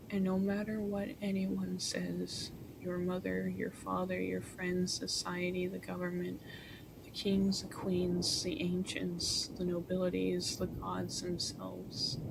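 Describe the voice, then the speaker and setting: There is clear reverberation from the room and a fair amount of background noise around this woman as she talks. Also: fairly slow pace. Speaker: ASMR streamer. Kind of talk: ASMR encouragement monologue. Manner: soft-spoken.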